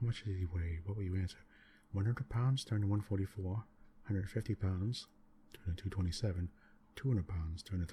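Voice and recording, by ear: This is reading aloud in a natural voice.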